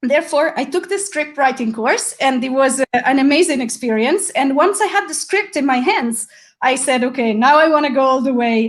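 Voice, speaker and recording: Her voice is high in pitch, and the woman speaks at a moderate pace with lively intonation. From Italy. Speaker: filmmaker. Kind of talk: online interview. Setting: video call.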